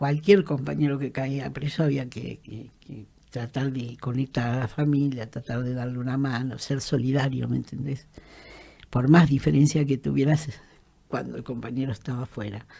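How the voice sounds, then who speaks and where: In an Argentine accent, a woman with a very deep, low voice and a dark, mellow tone speaks at a moderate pace with vocal fry, fairly even intonation and big swings in loudness. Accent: Rioplatense Argentine Spanish. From Argentina, Greater Buenos Aires (La Matanza). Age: 70s. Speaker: trade unionist and human rights activist. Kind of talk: interview, personal testimony. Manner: halting, many fillers and repetitions.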